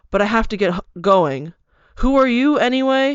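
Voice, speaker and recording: A woman uses a put-on character voice, high-pitched with lively intonation. She mumbles at a moderate pace. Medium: read story. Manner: terse, mumbling.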